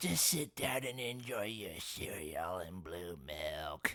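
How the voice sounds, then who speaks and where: Raspy and fairly low, a man's put-on character voice moves at a fairly slow pace. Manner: doting, bossy.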